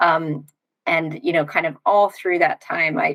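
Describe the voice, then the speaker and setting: Using an unremarkable speaking voice with an American accent, a woman speaks fairly slowly at a fairly low pitch with ordinary pitch variation, the sound dry and close with no echo. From United States. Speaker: long covid recovery coach, economist. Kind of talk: interview, personal story.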